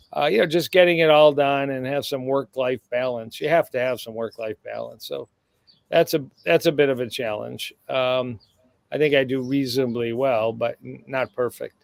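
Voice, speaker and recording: Dry and close with no echo, a man's plain, everyday voice comes at a moderate pace with medium pitch and fairly even intonation. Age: 60s. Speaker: cardiologist. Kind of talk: casual chat.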